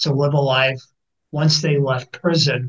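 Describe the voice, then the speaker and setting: A man with a fairly high pitch and an American accent speaks in a somewhat breathy voice. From US Midwest. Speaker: mental health clinician. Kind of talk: interview. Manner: hesitant, many fillers.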